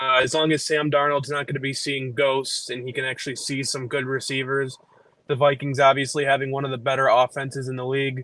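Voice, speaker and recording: Very fast delivery with a monotone, flat intonation. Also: man. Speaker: football fan guest. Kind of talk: casual chat.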